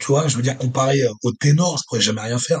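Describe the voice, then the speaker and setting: Speaking very fast, a man with a medium-pitched, somewhat breathy voice uses ordinary pitch variation. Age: 30s. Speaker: strongman athlete. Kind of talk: casual interview. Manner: halting, many fillers and repetitions.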